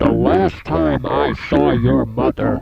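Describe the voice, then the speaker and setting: A man growls in a put-on character voice with very deep, low pitch, speaking at a fairly slow pace. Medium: read story. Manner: rude, dismissive.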